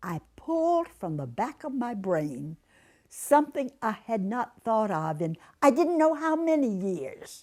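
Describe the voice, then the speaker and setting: A woman's fairly high, fairly slow speech with very wide pitch swings, in a very clean recording with a silent background. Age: 80s+. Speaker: substitute teacher. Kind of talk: interview answer.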